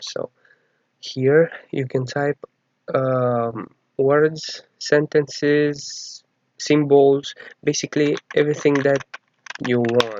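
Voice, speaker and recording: Very slow and marked by long, frequent pauses, a man's speech is fairly high in pitch with monotone, flat intonation. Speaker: programming tutorial maker. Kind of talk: tutorial narration. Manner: hesitant, casual.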